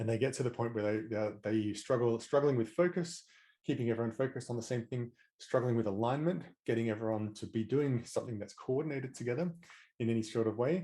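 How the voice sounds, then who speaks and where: A man with an Australian accent at medium pitch and very fast pace, with ordinary pitch variation and a dark, mellow tone. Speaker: management coach, former tech manager. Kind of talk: interview.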